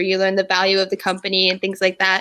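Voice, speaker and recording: A woman speaks loudly at a very fast pace. Her medium-pitched voice has a bright, sharp tone. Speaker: livestream host. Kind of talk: casual chat. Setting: livestream.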